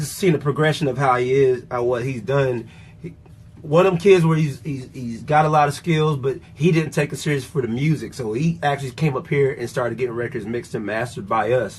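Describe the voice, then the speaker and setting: This man talks at a fairly quick pace with a somewhat breathy voice. His pitch sits in the medium range, with ordinary variation. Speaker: production manager and show panelist. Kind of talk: casual chat. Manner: animated.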